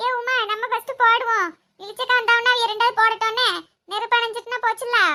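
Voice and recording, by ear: Using a cartoonish character voice, a woman speaks at an extremely high pitch with monotone, flat intonation. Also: moderate pace.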